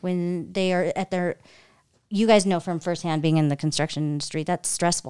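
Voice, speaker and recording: In a plain, everyday voice with an American accent, a woman talks at a fairly low pitch with fairly even intonation, recorded very cleanly against a silent background. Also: moderate pace. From California. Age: 40s. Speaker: event planner and marketing director. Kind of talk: casual chat.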